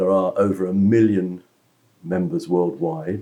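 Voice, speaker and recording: With a British accent, a man speaks in a dark, mellow tone that makes very wide pitch swings. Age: 70s. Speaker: motorcycle club director and businessman. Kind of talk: interview.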